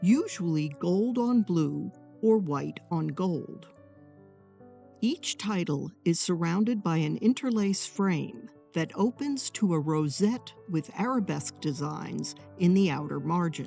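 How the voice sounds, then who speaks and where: With music in the background, a woman speaks very slowly in a fairly low pitch, her intonation lively. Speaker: art historian. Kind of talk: documentary narration.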